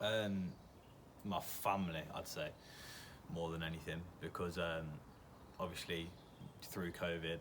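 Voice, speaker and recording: In an English accent, a man speaks in a flat monotone with a very deep, low voice, with audible room echo and noticeable background noise. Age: 20s. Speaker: aspiring actor. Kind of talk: interview answers. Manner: hesitant, with fillers.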